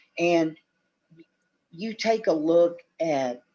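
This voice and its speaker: Against a quiet background, a man with an unremarkable speaking voice talks at a fairly high pitch with ordinary pitch variation. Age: 50s. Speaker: retired professional wrestler. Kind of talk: podcast interview.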